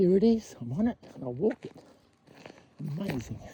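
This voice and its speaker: In an Australian accent, a man speaks at a high pitch with very wide pitch swings. Noticeable background noise can be heard. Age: 60s. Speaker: vlogger. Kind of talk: casual walk-and-talk monologue. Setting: outdoors on a walking track. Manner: halting, with fillers.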